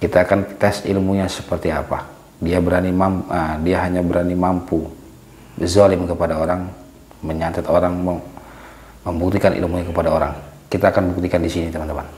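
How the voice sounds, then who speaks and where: A man with a very deep, low voice talks quietly in a flat monotone at a fairly quick pace, with noticeable background noise and audible room echo. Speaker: paranormal vlogger. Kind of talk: vlog narration to viewers; confrontational vlog. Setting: outdoors in a village at night. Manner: hushed, lowered voice.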